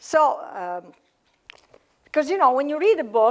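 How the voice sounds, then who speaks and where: In an Italian accent, a woman speaks at a moderate pace in a very clean recording with a silent background. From Italy. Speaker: author and cardiologist. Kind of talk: author talk. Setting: library event with audience. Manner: halting, many fillers.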